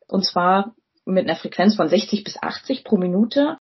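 Her voice is somewhat breathy, and this woman uses ordinary pitch variation. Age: 30s. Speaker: physician. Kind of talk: educational interview.

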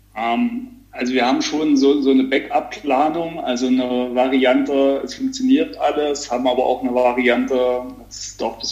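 A man speaks at a moderate pace while noticeable background noise carries on. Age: 30s. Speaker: business owner and amateur triathlete. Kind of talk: casual interview. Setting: remote call.

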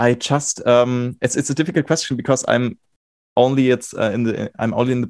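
Recorded with a dry, close sound and no echo, a man talks at a fairly quick pace in a medium pitch. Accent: German. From Germany. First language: German. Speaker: music student and podcast host. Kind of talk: casual interview. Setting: video call. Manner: halting, many fillers.

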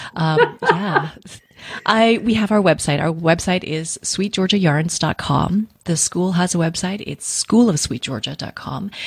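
Speaking fairly slowly in a normal speaking voice, a woman keeps a fairly low pitch with ordinary pitch variation. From Vancouver, western Canada. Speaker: yarn company founder and dyer. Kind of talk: interview.

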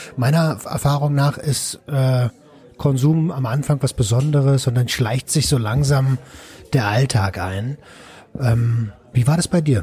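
Very slow and full of long, frequent pauses, a man's medium-pitched, somewhat breathy voice carries a dark, mellow tone and ordinary pitch variation. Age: 30s. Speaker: podcast host, recovery helper. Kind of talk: podcast interview.

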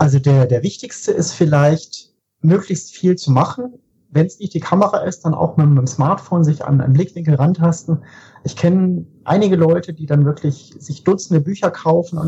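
A dark, mellow tone marks this voice. Its pitch varies in an ordinary way, and the pace is moderate. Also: man. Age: 30s. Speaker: photographer. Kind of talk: casual chat.

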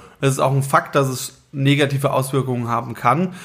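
A man with a medium-pitched, somewhat breathy voice keeps his intonation fairly even. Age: 30s. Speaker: band musician. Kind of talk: casual chat.

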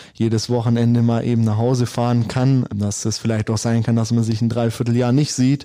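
On a very clean recording with a silent background, a man with a dark, mellow tone and medium pitch talks at a moderate pace, his loudness very even. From Swabia, southern Germany. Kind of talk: casual interview. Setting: club lounge.

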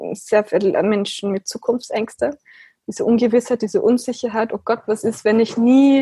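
It is a normal speaking voice with fairly even intonation, in a dry, close sound with no echo. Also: woman. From Austria. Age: 20s. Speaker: philosophical practitioner. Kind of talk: interview.

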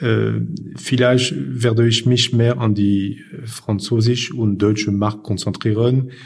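At a very slow pace, a man talks in a somewhat breathy voice with a fairly low pitch. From northern France, Lille. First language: French (speaking German). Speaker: recruitment firm owner. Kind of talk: interview. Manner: halting.

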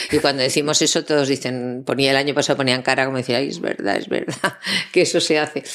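Noticeable background noise sits behind a woman talking at a very fast pace. Her pitch is very deep and low, with fairly even intonation. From Spain, Zaragoza. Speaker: voice actress and voice-over teacher. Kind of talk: interview.

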